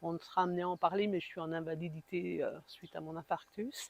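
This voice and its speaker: A woman's fairly low, monotone and flat voice at a moderate pace, with a dry, close sound with no echo. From eastern France, Besançon. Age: 60s. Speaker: heart attack patient, support group founder. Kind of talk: interview testimony. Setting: podcast interview.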